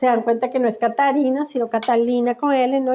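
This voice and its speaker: A woman's high-pitched voice with a Colombian accent at a moderate pace. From Colombia, Bogotá. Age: 40s. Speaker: migrant activist and academic. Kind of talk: interview testimony.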